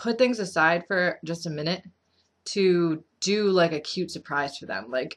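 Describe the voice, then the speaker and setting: A woman mumbles with ordinary pitch variation. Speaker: vlogger with BPD giving advice. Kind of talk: casual vlog advice. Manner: mumbling; casual, filler-heavy.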